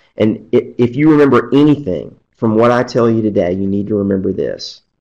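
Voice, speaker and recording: A man's ordinary speaking voice at medium pitch with ordinary pitch variation. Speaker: attorney. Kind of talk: webcast presentation.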